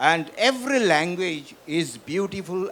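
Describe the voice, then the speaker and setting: A man with a Northeast Indian accent talks very slowly in a high voice. His intonation is lively. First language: Bishnupriya Manipuri. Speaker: professor and author. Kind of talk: literary festival panel conversation.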